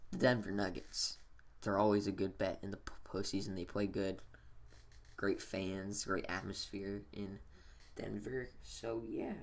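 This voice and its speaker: A man whispers quietly at a fairly slow pace. Vocal fry runs through his voice. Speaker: sports gaming YouTuber. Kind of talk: casual vlog commentary. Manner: whispering-ish, quiet; halting, many fillers.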